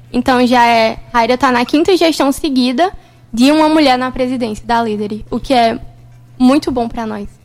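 A woman speaks high-pitched at a moderate pace with ordinary pitch variation while music plays in the background. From sertão of Pernambuco, Brazil. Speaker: university student, junior company member. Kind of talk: radio interview.

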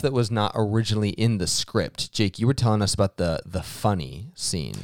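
An unremarkable speaking voice from a man, fairly low in pitch, with lively intonation, a moderate pace and hardly any pauses, in a dry, close sound with no echo on a very clean recording with a silent background. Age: 20s. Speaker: podcast co-host. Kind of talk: casual banter.

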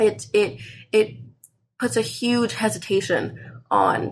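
Her voice shows vocal fry and very wide pitch swings as the woman speaks. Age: 20s. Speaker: college student. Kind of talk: casual chat. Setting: in bed at home.

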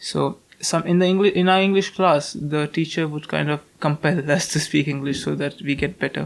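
With an Indian accent, the speaker moves at a fairly quick pace with hardly any pauses and fairly even intonation. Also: man, fairly high pitch for a man. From North India. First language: Hindi. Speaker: university student. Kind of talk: casual interview.

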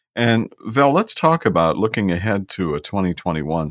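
This man's voice sits very deep and low, with vocal fry, in a very clean recording with a silent background and a dry, close sound with no echo. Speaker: podcast host. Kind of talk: casual interview.

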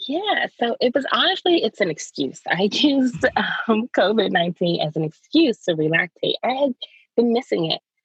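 A woman with an American accent speaks at a fairly high pitch and a moderate pace. Her pitch swings very widely, and vocal fry is present. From US Maryland. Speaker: lactation specialist. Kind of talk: casual interview chat.

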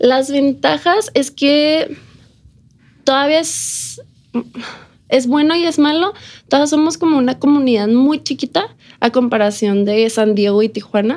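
Pitched high, a woman speaks at a fairly slow pace with lively intonation, very even loudness, and long, frequent pauses. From Ciudad Juárez, Mexico. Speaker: entrepreneur. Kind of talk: interview.

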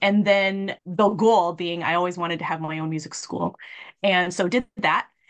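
With an American accent, a woman uses an ordinary speaking voice at a fairly low pitch, a moderate pace and fairly even intonation. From Minnesota. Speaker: revenue management consultant. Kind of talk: casual interview.

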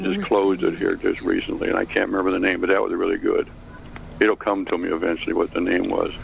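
A man talks at a very fast pace with an American accent. Noticeable background noise runs behind him. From US Midwest, Chicago. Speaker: caller. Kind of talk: casual chat. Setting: video call.

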